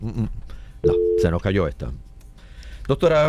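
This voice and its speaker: This is a man with a normal speaking voice. His pitch sits in the medium range. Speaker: radio host. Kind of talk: radio interview with call-ins.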